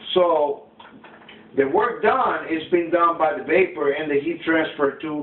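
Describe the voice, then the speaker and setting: A man with a non-native accent speaks at a fairly high pitch with ordinary pitch variation, amid audible room echo and noticeable background noise. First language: not English. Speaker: student. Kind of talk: classroom demonstration. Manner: halting.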